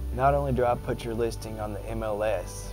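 Music plays in the background as a man speaks with a Kentucky accent. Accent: Southern US, Kentucky. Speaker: realtor. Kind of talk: promotional self-introduction to camera. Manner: friendly, earnest.

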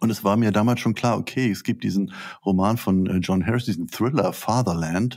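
A man's fairly low pitch at a fairly quick pace over a quiet background. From Schleswig-Holstein, northern Germany. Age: 60s. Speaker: literature professor. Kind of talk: interview. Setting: video call. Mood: calm, reflective. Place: home room.

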